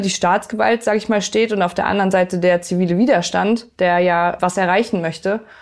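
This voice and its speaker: A woman of medium pitch, with a plain, everyday voice, speaks at a fairly quick pace and with fairly even intonation. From northern Germany (Lübeck). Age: 30s. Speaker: police officer and climate activist. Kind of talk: interview. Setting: kitchen at home.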